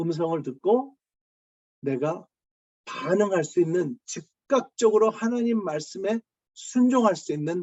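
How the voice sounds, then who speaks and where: A high-pitched man at a very slow pace, with very wide pitch swings. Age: 60s. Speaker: pastor. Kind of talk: sermon. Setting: video call. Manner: halting, many fillers.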